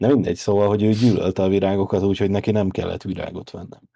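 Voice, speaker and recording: Speaking at a very fast pace, a man with a dark, mellow tone and fairly low pitch keeps a monotone, flat intonation. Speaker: podcast co-host. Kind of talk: casual chat.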